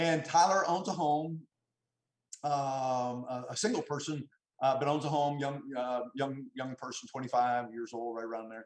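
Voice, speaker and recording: A man speaks with a fairly high pitch and ordinary pitch variation. His loudness swings widely. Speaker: financial services business leader. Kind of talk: motivational talk. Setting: video call. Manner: fast; halting, many repetitions.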